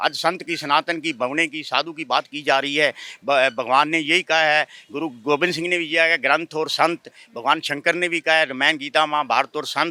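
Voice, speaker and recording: Recorded dry and close with no echo, a man with a fairly high pitch and a bright, sharp tone speaks at a moderate pace with fairly even intonation. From northern India, Haryana/Shimla area. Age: 70s. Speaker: sadhu (holy man). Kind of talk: street interview complaint. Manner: agitated.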